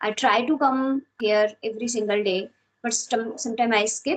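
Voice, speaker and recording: Speaking with an Indian accent, a woman uses a fairly high pitch. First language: Hindi. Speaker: English learner. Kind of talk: casual chat.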